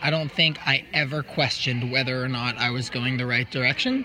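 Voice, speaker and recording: Noticeable background noise can be heard in this clip. A man's speech moves at a moderate pace over it. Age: 20s. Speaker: trail runner. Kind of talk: casual interview.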